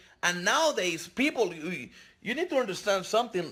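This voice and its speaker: A man speaks with a non-native accent. His tone is animated, bright and sharp. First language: not English. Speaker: online marketing vlogger. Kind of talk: casual vlog monologue. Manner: halting, with repetitions and self-corrections.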